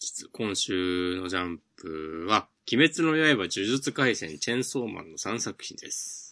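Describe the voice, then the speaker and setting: A man's bright, sharp voice swings very widely in pitch at a fairly slow pace. The background is quiet. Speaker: manga podcast co-host. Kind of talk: casual chat.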